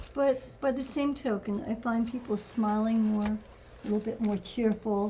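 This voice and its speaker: The woman's voice has a dark, mellow tone, somewhat breathy, with fairly even intonation. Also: moderate pace. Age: 70s. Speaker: model and former English teacher. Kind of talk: casual chat; self-introduction. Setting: studio.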